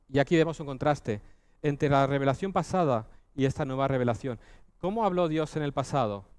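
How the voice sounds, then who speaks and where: The intonation is lively and the pace is moderate. The recording is very clean, with a silent background. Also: man. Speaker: preacher. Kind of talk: sermon. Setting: church.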